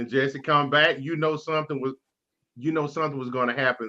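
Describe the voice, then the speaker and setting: With an American accent, a man speaks in a bright, sharp tone. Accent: Texas accent, comes out at times. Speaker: sports talk show host. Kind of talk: casual sports chat. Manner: animated.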